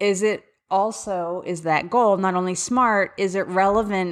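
Speaking in a Philadelphia accent, a woman with a medium pitch is heard in a very clean recording with a silent background. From Philadelphia area, US. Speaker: special education advocate and podcast host. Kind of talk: solo podcast monologue, casual and informative. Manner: casual, conversational, candid.

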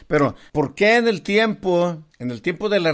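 In a very clean recording with a silent background, a man with a plain, everyday voice speaks at a fairly slow pace. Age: 50s. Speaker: podcast host. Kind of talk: casual chat.

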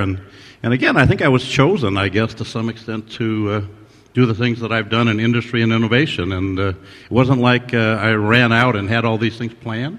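Music plays in the background as a man talks. His pace is fairly quick and his intonation fairly even. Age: 60s. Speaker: ophthalmologist, surgeon and innovator, award honoree. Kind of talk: interview answers, reflective conversation. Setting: award ceremony with audience.

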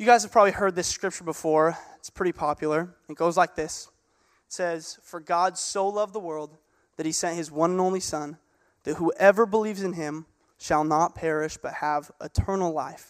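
A man with a high voice speaks at a moderate pace with fairly even intonation but big swings in loudness, on a very clean recording with a silent background. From US Pacific Northwest, Gig Harbor, Washington. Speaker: youth pastor. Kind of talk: sermon.

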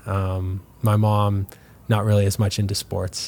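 Talking at a moderate pace with a Canadian prairie accent, a man has a fairly low, dark and mellow voice and monotone, flat intonation. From Canada, Manitoba (LaSalle near Winnipeg). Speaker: professional soccer player. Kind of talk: interview.

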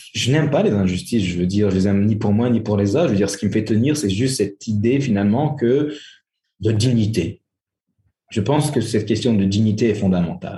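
A man's fairly low pitch and dark, mellow tone, somewhat breathy, at a fairly quick pace with very even loudness and ordinary pitch variation. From France. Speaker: historian. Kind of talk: interview. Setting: remote call from Algiers. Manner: halting.

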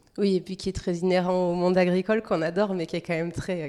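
A woman with a medium pitch and a dark, mellow tone speaks at a fairly quick pace. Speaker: podcast host. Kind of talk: interview.

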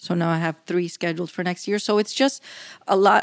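The voice is a normal speaking voice, with fairly even intonation at a moderate pace. The recording is very clean, with a silent background and a dry, close sound with no echo. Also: woman. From Cuban-American community. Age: 50s. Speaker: professional coach and speaker. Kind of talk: interview conversation.

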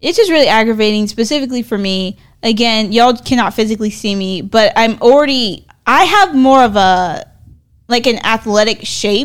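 Recorded very cleanly against a silent background, a woman with a plain, everyday voice speaks at a moderate pace, her pitch fairly high with ordinary pitch variation. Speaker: podcast co-host. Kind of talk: casual chat. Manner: playful, laughs often.

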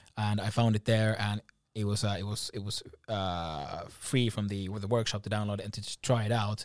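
A man has an unremarkable speaking voice at a fairly low pitch. He talks at a fairly quick pace with fairly even intonation. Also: very clean recording, silent background. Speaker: podcast co-host. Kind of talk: casual chat.

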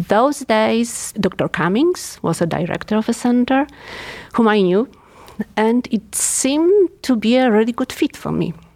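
In a Polish accent, a woman speaks at a fairly slow pace. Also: fairly high pitch for a woman, lively intonation, dry, close sound with no echo. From Poland. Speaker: geriatric neuropsychiatrist. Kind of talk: professional interview.

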